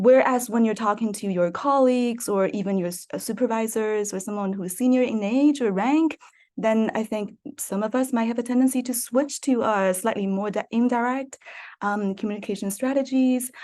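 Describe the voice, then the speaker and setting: In a quiet background, a woman with a non-native accent talks at a moderate pace, her fairly high pitch showing ordinary variation. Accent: foreign. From East Asia. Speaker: teacher, workshop participant. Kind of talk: workshop discussion. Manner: hesitant, many fillers.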